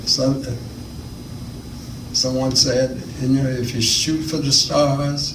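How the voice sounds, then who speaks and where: Speaking at a very slow pace in a North Carolina accent, a man with a medium pitch and monotone, flat intonation leaves long, frequent pauses amid noticeable background noise and audible room echo. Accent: Southern US (North Carolina). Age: 80s+. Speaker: retired math teacher. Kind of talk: interview. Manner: halting.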